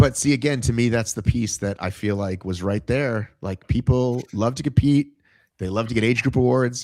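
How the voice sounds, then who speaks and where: A plain, everyday voice from a man, medium in pitch with ordinary variation, at a moderate pace in a very clean recording with a silent background. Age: 50s. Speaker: fitness podcast host. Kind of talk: casual interview chat.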